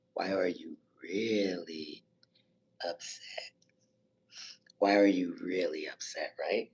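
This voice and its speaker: A man's quiet, raspy, put-on character voice at a fairly low pitch, very slow pace, with long, frequent pauses. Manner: very meek and quiet.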